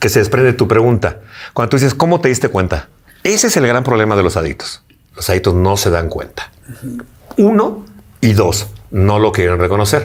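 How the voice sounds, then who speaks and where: A somewhat breathy man speaks with a fairly low pitch and lively intonation. His pace is fairly quick, broken by long, frequent pauses. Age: 60s. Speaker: interviewee recovering from addiction. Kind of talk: interview testimony. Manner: halting, with repetitions.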